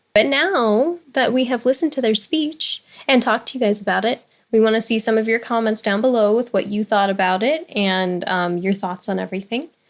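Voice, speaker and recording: A woman with an American accent speaks at a fairly quick pace. Her voice sits fairly high, and its pitch varies in an ordinary way. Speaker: YouTube reaction channel co-host. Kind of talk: casual reaction chat. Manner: articulate.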